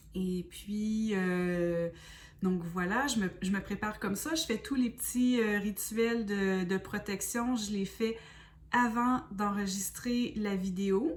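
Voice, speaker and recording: At a medium pitch, a woman with a Quebec accent speaks very slowly with ordinary pitch variation, and there is noticeable background noise. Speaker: spiritual medium and oracle card reader. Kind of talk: self-introduction and explanation to viewers. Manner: hesitant, many fillers.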